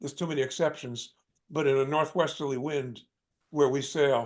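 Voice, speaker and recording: Here a man is speaking. His pace is moderate. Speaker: sailing instructor. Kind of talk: online class lecture. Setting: video call. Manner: halting, many repeated words.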